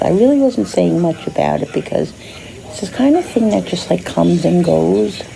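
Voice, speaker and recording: Noticeable background noise is audible. Through it, a woman talks at a moderate pace. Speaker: vlogger. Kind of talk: casual vlog talk. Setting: hospital room. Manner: soft-spoken, lower than normal.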